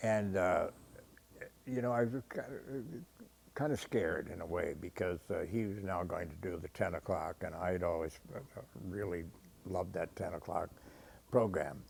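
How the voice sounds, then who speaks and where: Very deep and low, a man's voice carries an American accent. Long, frequent pauses break up his speech. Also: ordinary pitch variation, moderate pace. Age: 80s+. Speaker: retired TV weatherman. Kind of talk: interview. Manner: halting, many fillers.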